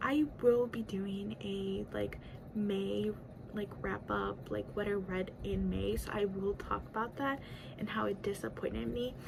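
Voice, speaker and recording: Over noticeable background noise, a woman speaks with a Spanish accent. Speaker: book YouTuber. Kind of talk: casual chat. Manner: rambling, lots of fillers.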